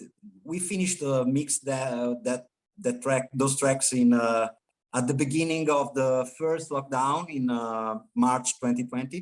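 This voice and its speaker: Speaking at a fairly slow pace with an Italian accent, a man uses a medium pitch and ordinary pitch variation. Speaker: rock band guitarist. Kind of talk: interview. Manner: halting, many fillers and repetitions.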